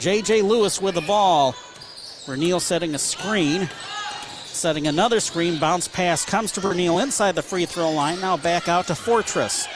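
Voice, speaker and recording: Over noticeable background noise, a high-pitched man speaks at a moderate pace with very even loudness and ordinary pitch variation. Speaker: radio play-by-play announcer. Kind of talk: live sports commentary. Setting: gymnasium, radio broadcast table.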